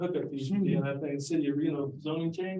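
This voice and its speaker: Audible room echo surrounds a man with a high pitch who speaks at a fairly quick pace with ordinary pitch variation. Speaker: accountant. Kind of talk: presentation. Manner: fast; animated.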